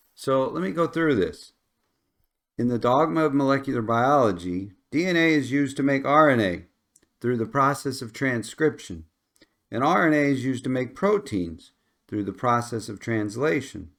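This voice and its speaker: On a very clean recording with a silent background, a voice with a Midwestern accent moves at a moderate pace with lively intonation. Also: man. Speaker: science educator. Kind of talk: lecture. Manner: conversational.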